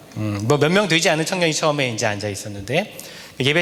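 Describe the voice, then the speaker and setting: A fairly high-pitched man at a very fast pace, with very wide pitch swings, audible room echo and noticeable background noise. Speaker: guest preacher, associate pastor. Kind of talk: sermon. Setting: church revival service.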